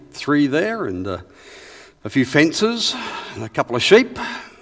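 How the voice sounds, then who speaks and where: With an Australian accent, a man talks at a moderate pace with lively intonation over noticeable background noise. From Western Australia, rural. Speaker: historian and researcher. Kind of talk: lecture.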